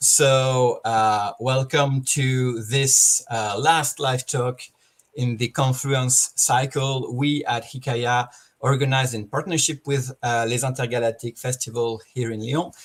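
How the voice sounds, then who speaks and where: This man's voice is somewhat breathy. His intonation is fairly even and his pace fairly slow. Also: medium pitch for a man. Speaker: talk show host, moderator. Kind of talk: live online panel interview. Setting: live stream video call. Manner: halting, many fillers.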